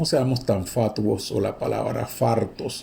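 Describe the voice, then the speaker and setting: Very slowly and somewhat breathily, a man speaks at a medium pitch with ordinary pitch variation and a dark, mellow tone, with audible room echo. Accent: Panamanian. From Panama. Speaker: university lecturer. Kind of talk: lecture. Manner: animated.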